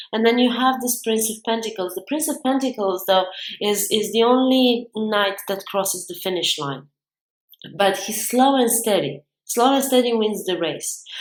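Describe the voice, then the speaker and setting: A woman with a fairly high pitch and ordinary pitch variation speaks at a moderate pace. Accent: non-native. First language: not English. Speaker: tarot reader. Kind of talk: tarot reading monologue. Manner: halting.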